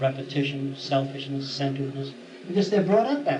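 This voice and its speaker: Fairly quick and fairly high in pitch, a man speaks with ordinary pitch variation amid noticeable background noise and audible room echo. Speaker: lecturer. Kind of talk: lecture. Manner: fast.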